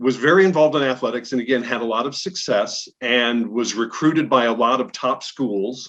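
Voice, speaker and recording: A man speaks in an American accent at medium pitch, with ordinary pitch variation. He hardly pauses at all. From Illinois, Peoria. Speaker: TV news anchor. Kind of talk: casual interview.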